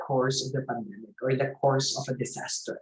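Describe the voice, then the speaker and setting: This man's voice is somewhat breathy. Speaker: theatre festival curator. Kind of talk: online lecture.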